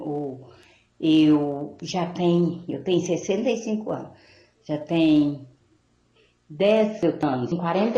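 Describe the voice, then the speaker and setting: A woman's dark, mellow voice at fairly low pitch with ordinary pitch variation, a very slow pace and long, frequent pauses, plus audible room echo. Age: 60s. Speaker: caller. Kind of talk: call-in question. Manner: halting.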